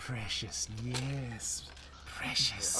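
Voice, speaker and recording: Someone does a put-on character voice. Loud background noise is present. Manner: gloating, obsessive, hissing.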